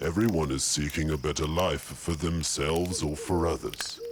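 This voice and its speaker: Putting on a character voice, a man speaks at a moderate pace with a very deep, low pitch and a calm tone over clear background noise. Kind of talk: character monologue. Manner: calm, welcoming.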